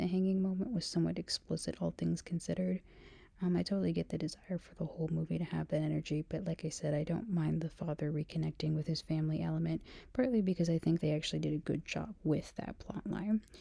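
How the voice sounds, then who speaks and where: The speaker is soft-spoken. The pace is very fast. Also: woman. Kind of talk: ASMR rambling talk.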